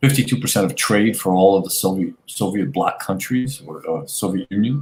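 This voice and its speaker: This is a normal speaking voice with an American accent. The delivery is fairly quick, with lively intonation. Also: man. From Brooklyn, New York. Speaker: guest on online talk show. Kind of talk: casual interview.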